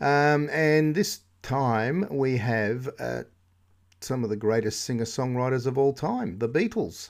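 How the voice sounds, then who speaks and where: A man with a plain, everyday voice, medium pitch and lively intonation at a fairly slow pace, on a very clean recording with a silent background. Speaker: radio host. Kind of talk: comic radio DJ patter: chatty music-show links, running gags and dad jokes between tracks. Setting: radio studio.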